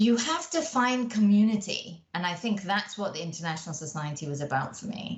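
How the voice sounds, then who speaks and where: A woman with a British accent talks at a fairly quick pace with hardly any pauses, her medium-pitched voice somewhat breathy. Her pitch swings very widely. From Malaysia. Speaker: engineering company professional. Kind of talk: podcast interview. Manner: animated.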